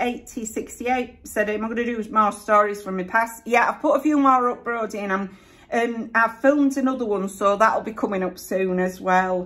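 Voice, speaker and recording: Against noticeable background noise, a woman with a Yorkshire accent speaks at a moderate pace with hardly any pauses, her fairly high pitch showing ordinary variation. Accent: broad Yorkshire. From Yorkshire, Bradford area. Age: 50s. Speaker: YouTuber. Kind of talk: casual chat.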